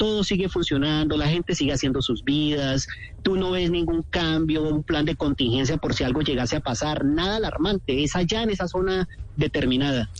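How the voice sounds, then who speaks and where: There is noticeable background noise. A man talks at a fairly quick pace in a fairly high pitch. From Colombia, Cali. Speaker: tour guide living abroad. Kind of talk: radio phone interview.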